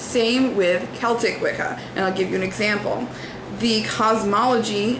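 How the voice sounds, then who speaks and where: A woman speaks at a fairly slow pace with fairly even intonation, with audible room echo and noticeable background noise. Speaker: religious vlogger. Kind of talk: video response commentary. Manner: hesitant fillers.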